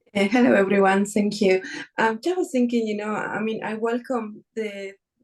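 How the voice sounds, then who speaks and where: A woman with an Argentine accent speaks at a fairly high pitch. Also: ordinary pitch variation, moderate pace. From Argentina. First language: Spanish. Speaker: workshop participant, academic. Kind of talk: online panel discussion.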